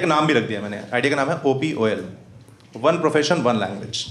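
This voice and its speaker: With audible room echo, a man with a fairly high pitch speaks at a very fast pace and with lively intonation. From Rewa, Madhya Pradesh, India. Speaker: stand-up comedian. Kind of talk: live stand-up comedy set. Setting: live comedy club with audience. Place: stage.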